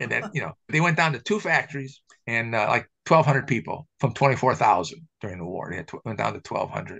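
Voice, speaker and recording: A man with an American accent and vocal fry, medium in pitch, at a moderate pace with hardly any pauses, very wide pitch swings and big swings in loudness. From US Midwest. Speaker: camera historian. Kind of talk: casual chat. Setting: video call.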